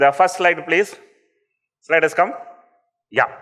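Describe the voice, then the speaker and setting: A man speaks in a Tamil accent with a bright, sharp tone. His pitch variation is ordinary. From India, Tamil Nadu (Coimbatore district village). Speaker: entrepreneur. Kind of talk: motivational talk. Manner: witty.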